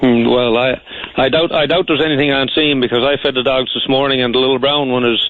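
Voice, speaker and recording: A man at medium pitch in a Newfoundland accent, very fast and monotone, with flat intonation, very even loudness and noticeable background noise. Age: 60s. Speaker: caller. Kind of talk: radio call-in. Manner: halting, repetitive.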